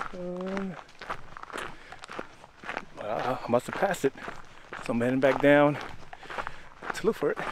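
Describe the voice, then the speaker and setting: A man talks at a moderate pace. The sound is dry with no echo, but there is noticeable background noise. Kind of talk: casual vlog chat. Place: forest. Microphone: phone near.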